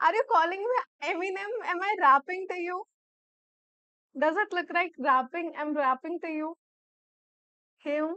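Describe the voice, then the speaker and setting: Pausing long and often, a woman speaks fairly slowly at an extremely high pitch. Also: ordinary pitch variation. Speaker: networking instructor. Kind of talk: live online lecture. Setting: livestream.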